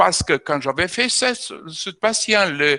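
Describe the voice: A bright, sharp tone with lively intonation in a dry, close sound with no echo. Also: man.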